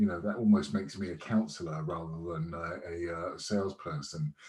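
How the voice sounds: Fairly even intonation and a slightly mellow tone come through at a moderate pace. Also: man.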